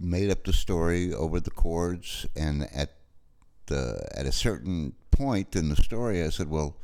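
A man talks with a New York accent. His pace is very slow, with ordinary pitch variation. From New York City. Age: 60s. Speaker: musician and film music supervisor. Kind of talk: interview. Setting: remote call, recorded locally.

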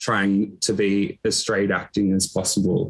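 The pace is fairly slow. It's a man talking in an Australian accent. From Echuca, Victoria, Australia. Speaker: LGBTQ organisation worker. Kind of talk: casual interview chat. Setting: video call, working remotely.

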